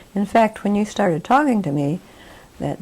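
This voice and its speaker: A woman with an American accent speaks in a dark, mellow tone with vocal fry. Her intonation is lively. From West Virginia, Charleston. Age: 80s+. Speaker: interviewee. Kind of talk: interview.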